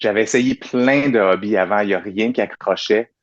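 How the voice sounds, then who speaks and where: An unremarkable speaking voice at a moderate pace with fairly even intonation, dry, close sound with no echo and a quiet background. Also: man. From Quebec, Saint-Jean-sur-Richelieu. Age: 30s. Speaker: dancer and choreographer. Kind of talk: interview conversation. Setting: video call.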